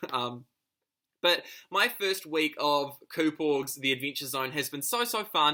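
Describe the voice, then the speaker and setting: A man's fairly high voice in a New Zealand accent, bright and sharp in tone, with lively intonation at a fairly slow pace, on a very clean recording with a silent background. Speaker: online reality game player. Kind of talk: video confessional. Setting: home lounge.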